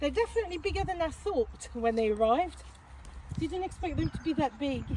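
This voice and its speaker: Amid clear background noise, a woman's speech moves along rather briskly. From France. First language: French. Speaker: allotment vlogger. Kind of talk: casual vlog chat. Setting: outdoors.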